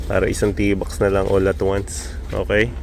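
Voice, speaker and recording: Man at a moderate pace over noticeable background noise. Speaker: pigeon racing vlogger. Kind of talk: casual vlog narration. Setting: outdoors, early morning.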